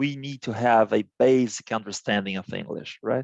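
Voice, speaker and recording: In a quiet setting, a man with a Portuguese accent talks at a fairly slow pace with a medium pitch. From Brazil, Santos. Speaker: business executive. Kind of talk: interview. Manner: halting, many fillers and repetitions.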